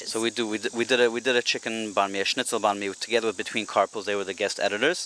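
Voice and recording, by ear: A man with a slight South African accent, medium pitch, a bright, sharp tone, fairly even intonation and a very fast pace. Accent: South African, light.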